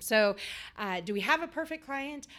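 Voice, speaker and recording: A woman speaks with a Midwestern American accent. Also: very clean recording, silent background. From rural Iowa. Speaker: state director of a small business development center. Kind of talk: interview.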